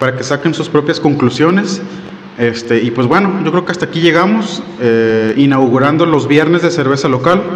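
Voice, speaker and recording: A man speaks with a northern Mexican accent. His pace is moderate and his pitch variation ordinary. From Monterrey, northern Mexico; Mexico. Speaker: beer reviewer. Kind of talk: product review. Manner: casual, hesitant with fillers. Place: home room. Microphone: studio mic.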